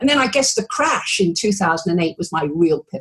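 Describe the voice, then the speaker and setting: In a British accent, a woman talks at a fairly quick pace in a somewhat breathy voice of medium pitch. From England. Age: 70s. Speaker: retired anesthesiologist turned video marketer. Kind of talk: interview. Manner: bubbly.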